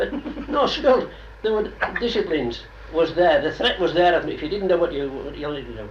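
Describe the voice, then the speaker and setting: Speaking at a fairly quick pace with a Cumbrian accent, a man is heard with audible room echo and noticeable background noise. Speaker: oral history interviewee. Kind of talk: oral history interview.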